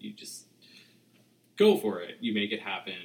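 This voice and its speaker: In a normal speaking voice, a man with an American accent keeps a moderate pace. His intonation stays fairly even. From suburban New Jersey. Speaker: guest. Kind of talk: casual chat.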